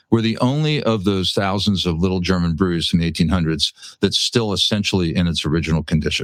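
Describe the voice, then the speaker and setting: With an American accent, a man talks at a very fast pace with hardly any pauses, his very deep, low voice showing ordinary pitch variation and very even loudness. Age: 60s. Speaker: brewery and restaurant owner. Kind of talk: interview chat. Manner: halting, many fillers and repeats.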